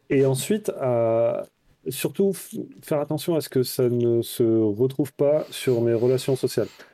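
Recorded very cleanly against a silent background, a man speaks at a medium pitch in a dark, mellow tone. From France, Toulouse. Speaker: money-saving blogger. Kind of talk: casual interview.

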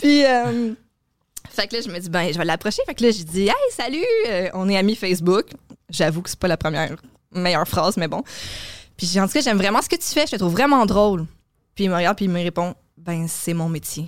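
Lively in intonation and medium in pitch, a woman speaks at a fairly quick pace broken by long, frequent pauses. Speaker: comedy booking agency coordinator and podcast co-host. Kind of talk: casual chat.

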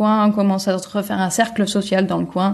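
A woman talks at a fairly quick pace in a medium pitch. Her tone is dark and mellow, and somewhat breathy. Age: 30s. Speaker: returned expat interviewee. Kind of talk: casual interview chat.

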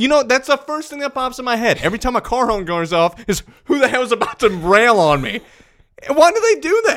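A man talks loudly at a fairly quick pace, in an animated tone. His voice is extremely high-pitched and swings very widely in pitch. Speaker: football podcast host. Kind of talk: casual chat.

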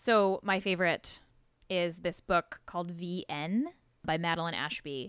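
A woman with an American accent has a plain, everyday voice, fairly low, with fairly even intonation at a fairly slow pace. The recording is very clean, with a silent background. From US West Coast, San Diego. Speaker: podcast host and journalist. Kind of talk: casual interview conversation.

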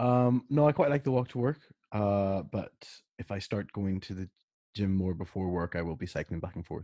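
At a moderate pace, a man with a fairly low pitch and a dark, mellow tone speaks with lively intonation. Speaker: podcast co-host.

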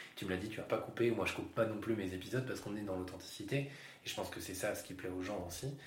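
A very fast male voice, fairly low in pitch, with ordinary pitch variation, hardly any pauses, noticeable background noise and audible room echo. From Yvelines, France. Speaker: podcast host and public speaking trainer. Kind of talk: casual interview chat.

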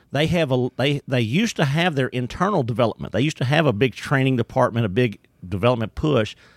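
Recorded very cleanly against a silent background, with a dry, close sound and no echo, a man with a strong East Texas accent speaks at a medium pitch with ordinary pitch variation. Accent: strong East Texas Southern drawl. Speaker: employee development trainer and speaker. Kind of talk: casual interview chat. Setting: studio.

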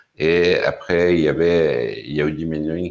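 A man with a Persian accent and a very deep, low pitch speaks with fairly even intonation. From Iran, Tehran. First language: Persian (speaking French). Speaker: cultural venue director. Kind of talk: interview.

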